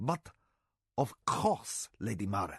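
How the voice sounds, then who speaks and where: A man puts on a gruff character voice at a medium pitch. The sound is dry and close, with no echo. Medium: read story. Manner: proud, matter-of-fact.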